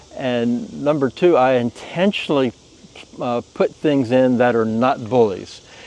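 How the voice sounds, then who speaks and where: Over noticeable background noise, a man at a medium pitch talks at a fairly slow pace with lively intonation. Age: 70s. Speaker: plant breeder. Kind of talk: casual garden tour interview. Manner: halting, many fillers.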